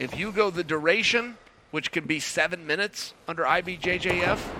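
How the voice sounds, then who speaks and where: A man with a high pitch talks at a fairly quick pace. His pitch variation is ordinary, and noticeable background noise can be heard. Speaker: grappling commentator. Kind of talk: live commentary.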